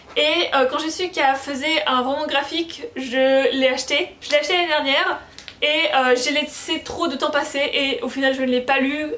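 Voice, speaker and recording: Speech at a moderate pace with ordinary pitch variation comes through noticeable background noise. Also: woman. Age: 20s. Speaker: book YouTuber. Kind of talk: casual vlog talk. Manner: casual, hesitant with fillers.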